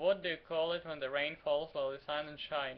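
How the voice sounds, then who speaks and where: A man talks in a fairly high pitch. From Ukraine. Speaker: vlogger. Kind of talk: casual talk to camera. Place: home room. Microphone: webcam.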